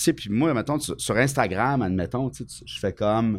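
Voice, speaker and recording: A man with a Quebec accent, medium pitch, ordinary pitch variation, and a fairly slow pace on a very clean recording with a silent background. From Quebec, Bas-Saint-Laurent. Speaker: comedian. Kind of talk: casual chat.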